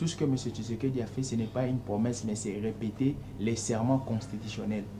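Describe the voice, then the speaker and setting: The man's delivery is fairly quick, with a medium pitch and fairly even intonation. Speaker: political commentator. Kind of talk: heated debate. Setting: TV studio.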